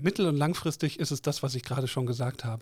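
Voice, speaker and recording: A man's unremarkable speaking voice, fairly high in pitch, with fairly even intonation, on a very clean recording with a silent background. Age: 50s. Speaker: board member of a trade association. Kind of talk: interview. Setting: studio.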